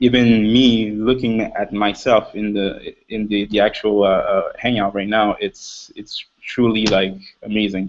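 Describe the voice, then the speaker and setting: With a Quebec accent, a man speaks at a very slow pace. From Quebec, Montreal. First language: French. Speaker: panelist on motivational web show. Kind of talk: panel discussion. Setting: video call. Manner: halting.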